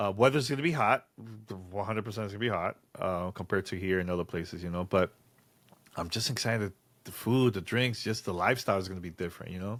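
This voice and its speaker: A very fast-paced man with a strong Dominican accent, fairly low in pitch with ordinary pitch variation. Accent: Dominican accent, thick. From Dominican Republic, San Francisco de Macorís. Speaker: podcast co-host. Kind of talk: casual chat.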